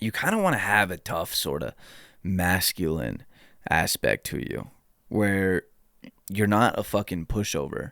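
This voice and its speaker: Very deep and low, a man's voice carries vocal fry and moves at a fairly slow pace, broken by long, frequent pauses. The sound is dry and close with no echo, on a very clean recording with a silent background. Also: ordinary pitch variation. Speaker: youtuber giving life advice. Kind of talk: casual monologue.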